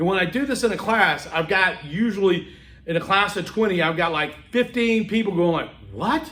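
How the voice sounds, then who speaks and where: An American man speaks in an animated, bright, sharp tone with a high pitch and ordinary pitch variation. His pace is moderate, and the room echo is audible. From US South, Homewood, Alabama (Birmingham). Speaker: public speaking instructor. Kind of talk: lecture.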